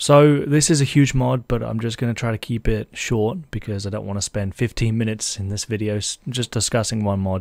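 A man with a British accent speaks at a fairly quick pace, hardly pausing, at medium pitch with ordinary variation. The sound is dry and close with no echo, on a very clean recording with a silent background. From Britain. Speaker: gaming YouTuber. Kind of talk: tutorial. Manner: casual, somewhat hesitant with filler words.

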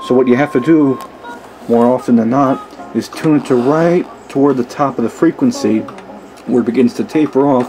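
Dark, mellow tone from a man, ordinary pitch variation, faint background noise. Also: medium pitch for a man, moderate pace.

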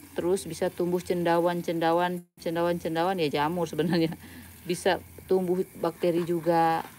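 Over light background noise, a woman talks at a moderate pace in a fairly low, dark, mellow voice, monotone and flat, with very even loudness. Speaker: plant hobbyist vlogger. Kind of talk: livestream tutorial. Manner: casual, chatty. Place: garden. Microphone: phone near.

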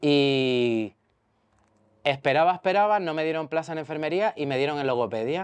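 A man speaks in a normal speaking voice at a fairly high pitch and moderate pace. His pitch varies in an ordinary way, and the background is quiet. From Canary Islands, Mogán (Gran Canaria); Canary Islands, Spain. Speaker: speech therapist, social services worker; interviewee. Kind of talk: testimony interview. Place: garden. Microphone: lapel.

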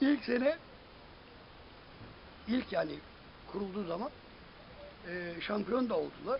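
Light background noise sits behind a man with a high voice who speaks at a fairly slow pace with lively intonation and long, frequent pauses. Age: 70s. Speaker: amateur football club founder and coach; coach. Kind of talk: interview answer. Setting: outdoors. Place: garden. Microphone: phone near.

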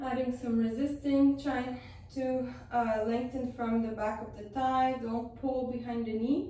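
Audible room echo surrounds a woman speaking in a high pitch at a fairly slow pace. Her intonation is monotone and flat. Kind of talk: exercise class instruction. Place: home room. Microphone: camera far.

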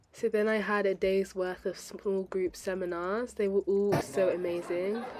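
The voice carries an upbeat tone. Noticeable background noise sits behind it. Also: woman. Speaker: medical student. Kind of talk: vlog narration.

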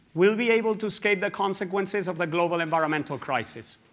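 A man's raised, projected voice with a bright, sharp tone. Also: quiet background. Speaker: scientific director. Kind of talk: conference speech. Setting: stage with audience. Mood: earnest, urgent. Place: hall. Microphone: lapel.

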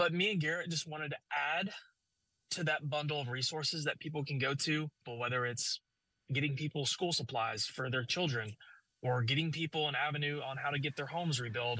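The tone is bright and sharp, with ordinary pitch variation. The pace is fairly quick, and the sound is dry with no echo. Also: man, fairly high pitch for a man, quiet background. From Arkansas. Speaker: storm chaser, nonprofit co-founder. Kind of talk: news interview. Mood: earnest, community-minded. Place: car. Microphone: phone near.

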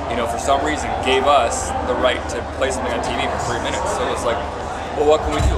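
Music sounds behind the speaker. He is a man talking very fast. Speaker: interviewee. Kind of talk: interview answer. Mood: thoughtful, earnest. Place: tent.

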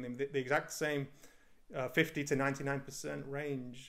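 Against a quiet background, a man with a northern English accent speaks at a fairly high pitch. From northern England. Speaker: indie game developer; interviewee. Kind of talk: interview. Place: home room. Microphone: studio mic.

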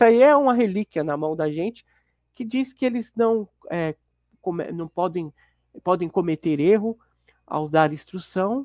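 A man talks at a high pitch and a fairly slow pace, his intonation lively. The background is quiet and the sound is dry, with no echo. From Guarulhos, São Paulo, Brazil; São Paulo, Brazil. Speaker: former Jehovah's Witness; Witness. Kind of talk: interview testimony; interview answer. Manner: halting, many fillers. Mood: calm, reflective. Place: home room. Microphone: lapel.

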